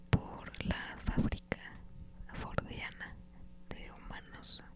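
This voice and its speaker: Whispering in a calm tone at a very slow pace, with noticeable background noise. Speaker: ASMR creator. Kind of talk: ASMR audiobook reading. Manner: whispered, soft, calm.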